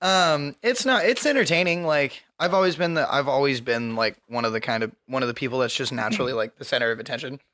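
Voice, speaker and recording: A loud man with a bright, sharp tone talks at a very fast pace with hardly any pauses, his fairly high pitch moving in lively intonation. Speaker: podcast co-host and streamer. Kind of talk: casual chat.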